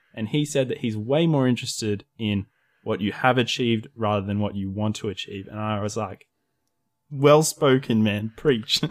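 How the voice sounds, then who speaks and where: On a very clean recording with a silent background, a man with an Australian accent talks at a moderate pace in a fairly low pitch. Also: ordinary pitch variation. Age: 20s. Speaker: YouTube creator. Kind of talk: casual chat.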